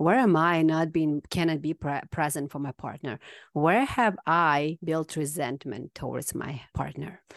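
In a Kazakh accent, a woman with a very deep, low pitch speaks at a fairly slow pace. The sound is dry and close with no echo, and the background is quiet. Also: ordinary pitch variation. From Kazakhstan. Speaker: healer. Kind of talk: casual chat.

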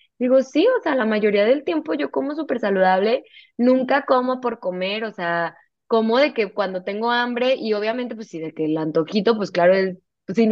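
A woman's fairly high voice with lively intonation, at a moderate pace. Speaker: nutritionist. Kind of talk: interview conversation.

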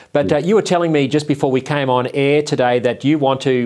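With an Australian accent, a man talks at a fairly high pitch. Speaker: online TV show host. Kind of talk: talk show interview.

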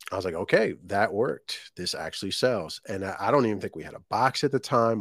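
Recorded very cleanly with a silent background, the sound is dry and close with no echo. A man with an American accent speaks at a fairly low pitch, with ordinary pitch variation. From Virginia, US. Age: 30s. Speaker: small business owner. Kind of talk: casual interview. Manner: halting.

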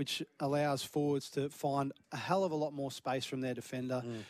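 A man with a fairly high voice speaking at a fairly quick pace on a very clean recording with a silent background. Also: dry, close sound with no echo. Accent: Australian. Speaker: football pundit. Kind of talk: casual chat.

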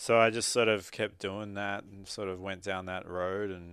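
Over a quiet background, a man with an Australian accent speaks at a fairly low pitch. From Australia, Sydney. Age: 30s. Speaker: muralist. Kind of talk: interview. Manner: halting.

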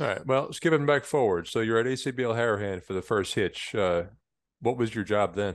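Over a quiet background, a man with a normal speaking voice speaks in an American accent at medium pitch with ordinary pitch variation. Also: moderate pace. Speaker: podcast host. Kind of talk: casual interview.

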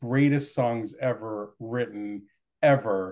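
A man's animated voice with an American accent, medium in pitch with ordinary pitch variation. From US, New Jersey (Jersey City). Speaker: podcast host, writer. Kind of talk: casual interview chat.

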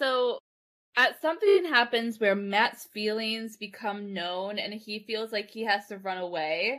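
A woman's fairly high voice has a bright, sharp tone and ordinary pitch variation. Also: fairly slow pace, very clean recording, silent background. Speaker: podcast host. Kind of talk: casual chat.

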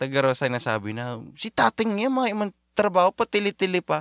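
A man's voice with very wide pitch swings in a dry, close sound with no echo. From Bicol, Philippines. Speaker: podcast host. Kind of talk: casual chat.

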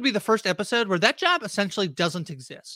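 A man speaks at a very fast pace in a raised, projected voice. His tone is bright and sharp, and his pitch is high. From Canada. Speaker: podcast host. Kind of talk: casual chat.

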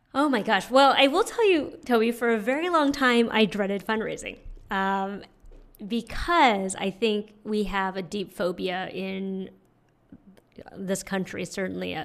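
A woman speaks in a normal speaking voice at a medium pitch and moderate pace, with ordinary pitch variation. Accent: American. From US West Coast, San Francisco. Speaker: nonprofit fundraising consultant. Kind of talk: interview.

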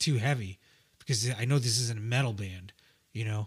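A somewhat breathy man at a medium pitch and fairly quick pace, in a very clean recording with a silent background. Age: 40s. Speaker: musician in a rock band. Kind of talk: casual chat.

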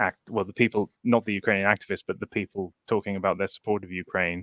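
The recording has a dry, close sound with no echo as a man with a British accent speaks at a fairly low pitch. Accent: British, noticeable. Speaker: blogger and Twitter commentator. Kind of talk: casual political discussion. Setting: online livestream. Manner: halting, many fillers.

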